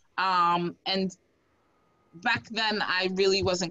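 A woman is speaking. Her pace is fairly slow. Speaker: infectious disease doctor and cancer survivor. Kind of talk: presentation. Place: home room. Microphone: video call.

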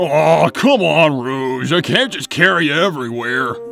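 Clear music plays in the background as a cartoonish character voice moves at a moderate pace with lively intonation. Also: man, fairly high pitch for a man. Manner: gruff, blunt, easily flustered.

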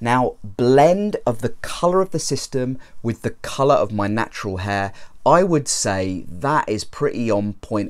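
A man's fairly slow speech with lively intonation, against a quiet background. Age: 30s. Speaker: YouTuber reviewing hair systems. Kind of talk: product review vlog. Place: home room. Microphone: lapel.

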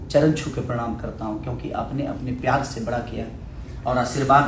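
Man at a fairly slow pace, fairly even intonation, audible room echo and light background noise. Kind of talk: live stream address to audience. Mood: grateful, earnest. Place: gym. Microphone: phone near.

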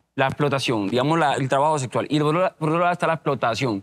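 A man's fairly high voice moves at a fairly quick clip, his intonation lively. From Cartagena, Colombian Caribbean coast. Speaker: mayoral candidate; candidate. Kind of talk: political debate. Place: studio. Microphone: lapel.

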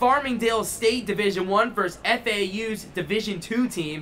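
Energetic in tone, a man speaks in a raised, projected voice with ordinary pitch variation over light background noise. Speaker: college hockey show host. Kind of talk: sports preview panel chat. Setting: arena venue. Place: stadium. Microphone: studio mic.

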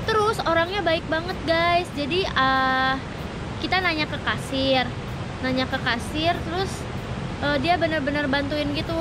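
Through noticeable background noise, a woman's raised, projected voice comes at a fairly slow pace. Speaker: travel vlogger. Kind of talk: casual vlog chat. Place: street. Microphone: phone near.

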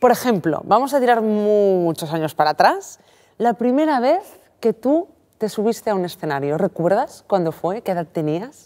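Over a quiet background, a woman with a dark, mellow tone speaks at a moderate pace, her pitch swinging very widely. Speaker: interviewer. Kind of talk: interview. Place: studio. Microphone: lapel.

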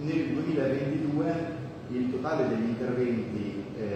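A man talks with fairly even intonation. Strong room echo and noticeable background noise surround his voice. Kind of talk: press statement. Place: meeting room. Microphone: camera far.

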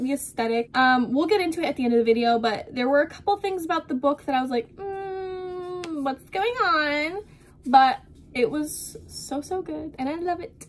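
This woman's high-pitched voice carries lively intonation. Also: moderate pace. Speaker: book vlogger. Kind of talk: casual vlog chat. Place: home room. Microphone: phone near.

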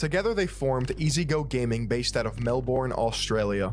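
Over light background noise, a man speaks at a moderate pace with lively intonation. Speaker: video essay narrator. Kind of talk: documentary commentary. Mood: sarcastic, critical.

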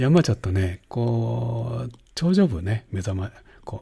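A man speaks fairly slowly in a fairly low, dark and mellow voice that is somewhat breathy and relaxed. His intonation is lively, and the background is quiet. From Japan. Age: 70s. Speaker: painting instructor. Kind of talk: tutorial. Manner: relaxed, chatty with frequent fillers.

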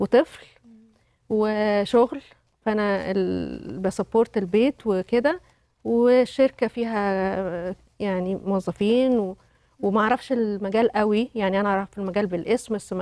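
In a dry recording with no echo and a quiet background, a woman speaks very slowly in a dark, mellow tone with ordinary pitch variation. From Egypt. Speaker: company director and widow; talk show guest. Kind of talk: testimony. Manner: halting. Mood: reflective, personal story. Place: studio. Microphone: lapel.

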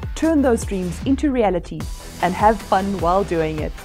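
With music playing in the background, a woman talks at a moderate pace. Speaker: keynote speaker. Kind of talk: motivational keynote talk. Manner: high energy.

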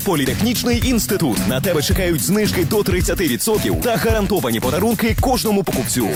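Music plays in the background as a man with a fairly high voice talks at a fairly quick pace with very wide pitch swings. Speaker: voice-over announcer. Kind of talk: radio and TV commercial read.

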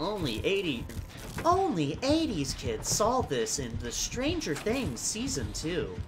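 A put-on character voice moves at a very slow pace. Loud background noise sits behind it. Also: man, high pitch for a man.

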